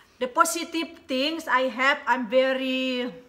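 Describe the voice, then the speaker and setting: A woman speaks very slowly in a high, bright, sharp voice that is raised and projected. Her pitch variation is ordinary. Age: 40s. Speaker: YouTuber; couple vlogger. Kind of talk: casual chat. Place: home room. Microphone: phone near.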